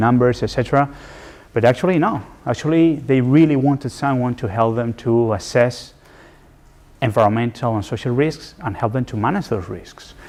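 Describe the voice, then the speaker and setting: A man in a Spanish accent speaks at a moderate pace and medium pitch, with ordinary pitch variation. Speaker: environmental and social risk specialist in development finance. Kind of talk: lecture.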